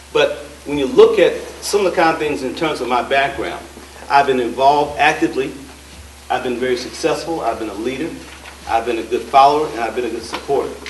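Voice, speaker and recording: A man with an American accent talks at a very fast pace with long, frequent pauses, amid noticeable background noise and audible room echo. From Dayton, Ohio. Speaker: political candidate. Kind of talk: campaign speech. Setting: candidates forum with audience. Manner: halting.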